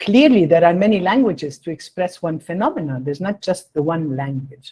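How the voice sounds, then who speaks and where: Somewhat breathy and dark, mellow in tone, a woman talks at a fairly quick pace and fairly low pitch with lively intonation. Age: 60s. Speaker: invited lecturer, public health expert. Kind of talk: answering audience question in lecture. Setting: online meeting.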